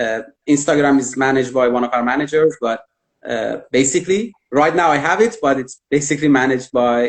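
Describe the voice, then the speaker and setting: The voice carries a Persian accent at a fairly quick pace. Its pitch variation is ordinary. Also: man. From Iran. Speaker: immigration consultant. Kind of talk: interview on live video stream. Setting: live virtual event. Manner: hesitant, many fillers.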